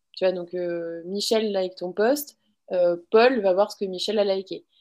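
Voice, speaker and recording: A woman speaks at a fairly slow pace with fairly even intonation. Her pitch is medium, in a normal speaking voice. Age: 20s. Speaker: social media school founder. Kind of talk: interview.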